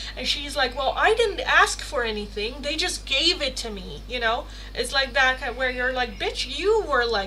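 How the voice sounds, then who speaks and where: A woman speaks in an animated tone with hardly any pauses, her voice carrying an audible room echo over noticeable background noise. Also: moderate pace. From Netherlands. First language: Dutch. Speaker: tarot reader, livestreamer. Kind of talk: casual livestream chat. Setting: live stream.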